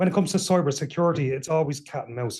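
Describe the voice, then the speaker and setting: In an Irish accent, a man with a fairly high, somewhat breathy voice and a dark, mellow tone talks at a very fast pace with ordinary pitch variation. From Ireland. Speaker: cybersecurity panelist. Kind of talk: panel discussion.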